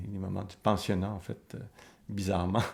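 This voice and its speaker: A man's fairly low voice at a fairly quick pace. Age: 60s. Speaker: author and psychoanalyst interviewee. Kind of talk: documentary interview. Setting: filmed documentary interview. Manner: reflective, with hesitations.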